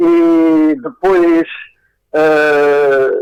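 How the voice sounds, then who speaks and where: A man speaks with lively intonation. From Portugal, Alentejo (Beja). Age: 80s+. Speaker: fado singer. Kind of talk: radio interview. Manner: halting.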